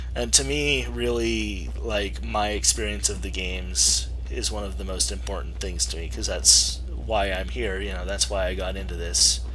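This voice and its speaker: Against noticeable background noise and audible room echo, a man with a very deep, low voice speaks at a moderate pace in a monotone, flat delivery with hardly any pauses. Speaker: gaming streamer. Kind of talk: live game commentary. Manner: hesitant, many fillers.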